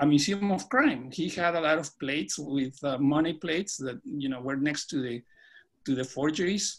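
His pitch moves in an ordinary way as this man speaks at a moderate speed. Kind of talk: lecture. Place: home room. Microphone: video call.

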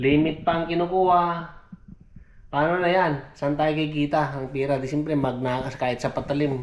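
The man's voice sits fairly high in pitch. Audible echo from the room surrounds it. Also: fairly even intonation, moderate pace. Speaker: vlogger, OFW domestic worker. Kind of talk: casual vlog narration.

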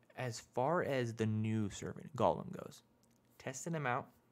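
Soft-spoken and at a moderate pace, a man speaks with lively intonation. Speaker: gaming YouTuber; gaming content creator. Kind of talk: casual game tutorial. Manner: quiet, soft-spoken; informal. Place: home room. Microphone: studio mic.

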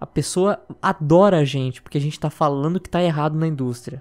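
Speaking at a moderate pace is a man. The recording is very clean, with a silent background. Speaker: gaming YouTuber co-host. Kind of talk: casual commentary.

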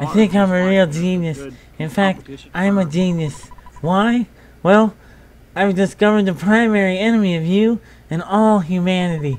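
Doing a put-on character voice, a man sounds nasal at a high pitch, with ordinary pitch variation and a moderate pace.

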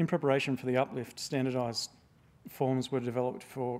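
A man talks in an Australian accent. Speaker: museum registrar. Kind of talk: public talk. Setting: stage with audience. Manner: halting. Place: hall. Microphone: lapel.

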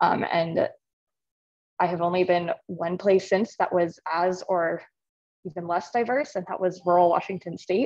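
Against a quiet background, a woman speaks at a fairly slow pace with fairly even intonation and long, frequent pauses. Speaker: congressional staffer, audience member; audience member. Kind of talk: audience question. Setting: video call from a hallway, echoey. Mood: earnest, mildly concerned. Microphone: video call.

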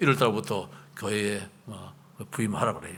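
With audible room echo, a man talks at a moderate pace in a bright, sharp tone. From South Korea, Gyeongbuk (Chilgok). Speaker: pastor. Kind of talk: sermon.

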